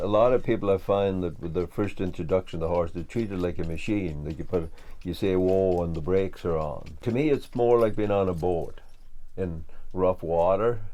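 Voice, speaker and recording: A man speaks at a moderate pace in a very deep, low pitch with a dark, mellow tone and ordinary pitch variation. The room echo is audible. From west of Ireland. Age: 60s. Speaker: farmer and woodworker. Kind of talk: documentary interview. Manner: halting, many fillers.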